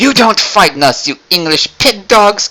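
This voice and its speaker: At a moderate pace, a put-on character voice with a French accent is pitched fairly high. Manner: taunting, exaggerated.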